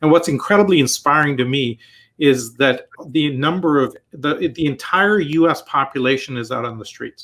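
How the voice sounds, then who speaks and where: A man speaks in an ordinary speaking voice at a moderate pace with ordinary pitch variation. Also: fairly high pitch for a man. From Canada. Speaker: entrepreneur and technology strategist. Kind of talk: interview conversation.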